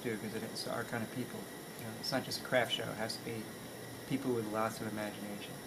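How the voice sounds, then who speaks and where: Speaking very fast, a man is heard over noticeable background noise. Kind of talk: interview answer. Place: workshop.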